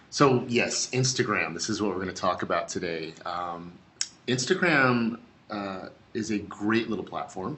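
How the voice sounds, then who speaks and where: A man speaks with a fairly low pitch. His pitch varies in an ordinary way. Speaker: social media presenter. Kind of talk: webinar presentation. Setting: online webinar. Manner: animated.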